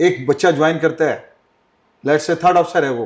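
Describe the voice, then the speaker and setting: In a very clean recording with a silent background, a man with a high-pitched voice talks at a moderate pace. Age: 60s. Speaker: ship captain and nautical instructor. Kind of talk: podcast interview.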